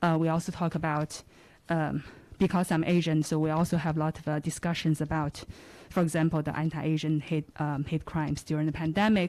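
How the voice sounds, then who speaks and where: With a dark, mellow tone and monotone, flat intonation, the voice moves at a moderate pace in a very clean recording with a silent background. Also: woman. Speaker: journalism professor. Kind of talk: audience question at public forum. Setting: live event, at audience microphone. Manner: halting, many fillers.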